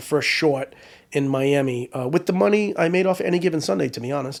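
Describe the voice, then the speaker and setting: An ordinary speaking voice from a man with an American accent, medium pitch, ordinary pitch variation and a fairly quick pace. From US Northeast, Rhode Island. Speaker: prop assistant and filmmaker. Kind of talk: casual interview chat.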